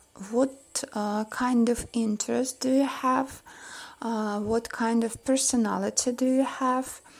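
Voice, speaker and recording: A woman with a Russian accent speaks at a very slow pace. Her high-pitched voice stays monotone and flat. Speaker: image consultant. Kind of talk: vlog talk to camera. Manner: halting, many fillers.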